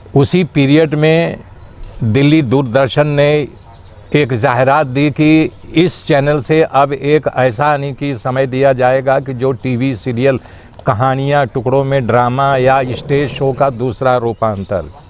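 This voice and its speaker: Fairly even intonation marks this man's speech. Noticeable background noise is present throughout. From Uttar Pradesh, India (Bhadohi). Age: 60s. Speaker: actor. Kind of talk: interview.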